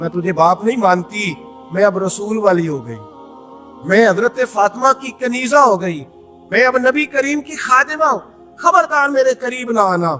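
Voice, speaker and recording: Over background music, a man projects a raised voice at an extremely high pitch, with very wide pitch swings and big swings in loudness. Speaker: Islamic preacher. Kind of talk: Islamic sermon with storytelling. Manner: emotional, passionate.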